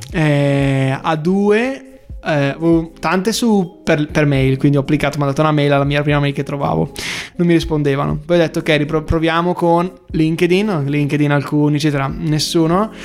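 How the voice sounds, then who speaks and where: With a Bergamasque accent, a man at a fairly high pitch keeps a very even loudness over noticeable background noise. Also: moderate pace. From Bergamo, northern Italy. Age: young. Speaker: startup founder. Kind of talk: interview. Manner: animated.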